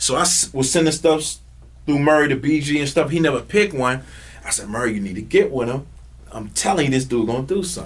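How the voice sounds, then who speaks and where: A man with an American accent, very fast pace, ordinary pitch variation, and noticeable background noise. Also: fairly high pitch for a man. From North Carolina. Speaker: music manager. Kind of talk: podcast interview. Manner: animated.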